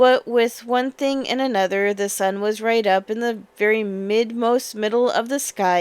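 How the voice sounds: The speaker reads. The voice is a natural reading voice.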